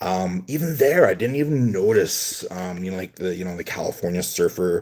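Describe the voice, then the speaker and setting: A man with a Canadian accent speaks at a fairly low pitch with ordinary pitch variation. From western Canada, British Columbia. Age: 50s. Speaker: pack-opening streamer. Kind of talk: casual chat. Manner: halting, many filler words.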